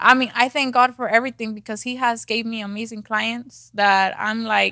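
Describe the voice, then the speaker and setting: In a very clean recording with a silent background, a woman with a strong Mexican accent talks at a moderate pace in a high-pitched, bright, sharp tone. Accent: thick Mexican Spanish. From Mexico. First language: Spanish. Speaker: real estate agent. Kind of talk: podcast interview. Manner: hesitant, many fillers.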